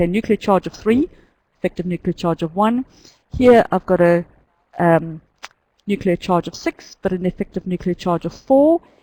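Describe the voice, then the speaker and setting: A woman with a New Zealand accent has a dark, mellow tone and ordinary pitch variation. She leaves long, frequent pauses. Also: medium pitch for a woman, moderate pace, dry, close sound with no echo. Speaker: chemistry teacher. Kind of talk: lecture. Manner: halting.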